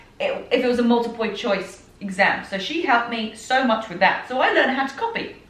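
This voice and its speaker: A woman talks at a high pitch with ordinary pitch variation, amid audible room echo and noticeable background noise. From southern England. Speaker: fitness and personal development podcaster. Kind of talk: personal storytelling podcast. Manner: animated.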